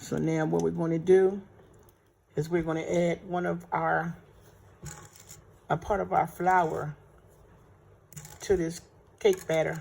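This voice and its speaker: At a fairly slow pace, a woman speaks with long, frequent pauses. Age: 60s. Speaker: home baker teaching cooking. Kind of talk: tutorial. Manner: casual, conversational.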